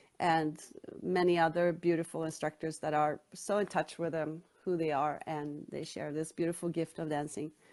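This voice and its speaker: Against a quiet background, a woman with a Swedish accent talks at a moderate pace in a fairly low pitch, her intonation monotone and flat. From Sweden, Stockholm. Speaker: author. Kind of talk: interview.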